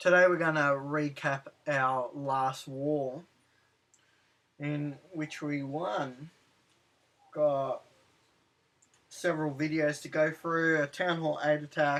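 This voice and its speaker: A man with an Australian accent speaks at a very slow pace, leaving long, frequent pauses. His fairly high voice stays monotone and flat. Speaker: gaming commentator. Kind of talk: game commentary recap. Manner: casual, hesitant with fillers.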